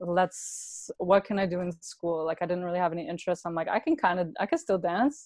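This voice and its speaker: A woman with a normal speaking voice talks at a fairly quick pace with hardly any pauses, her pitch fairly low with ordinary variation, against a quiet background. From Brampton, Ontario, Canada. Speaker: breakdancer. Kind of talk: casual interview chat.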